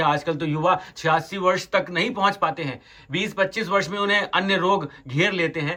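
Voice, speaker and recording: A man's high-pitched voice, bright and sharp in tone, with ordinary pitch variation and hardly any pauses. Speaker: podcast host for a religious NGO. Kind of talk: interview questions on location. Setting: outdoors.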